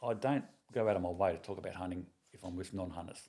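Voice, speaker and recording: A man speaks with an Australian accent at a moderate pace. His tone is dark and mellow. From Sydney, Australia. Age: 60s. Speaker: retired police officer and hunter. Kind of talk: casual chat. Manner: halting.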